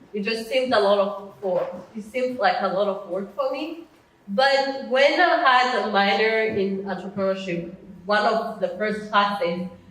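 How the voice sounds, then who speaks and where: A woman speaks at a fairly high pitch with ordinary pitch variation. Audible room echo and noticeable background noise surround her voice. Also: moderate pace. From Rwanda. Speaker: educator and entrepreneur, summit speaker. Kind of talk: presentation to a live audience. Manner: halting, with frequent fillers and restarts.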